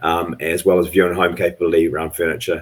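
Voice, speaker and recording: A man with a very deep, low voice and a New Zealand accent, talking at a very fast pace. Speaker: tech company executive. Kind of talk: panel discussion.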